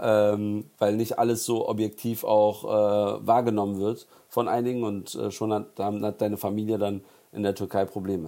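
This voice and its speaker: A man speaks at a fairly slow pace in a fairly low pitch, his dark, mellow tone held in a flat monotone. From Berlin, Neukölln. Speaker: political activist. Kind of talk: interview.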